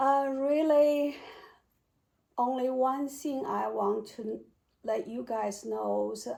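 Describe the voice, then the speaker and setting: This is a woman speaking with a Chinese accent. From China (Beijing). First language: Mandarin Chinese. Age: 60s. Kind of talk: interview answer. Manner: hesitant, searching for words.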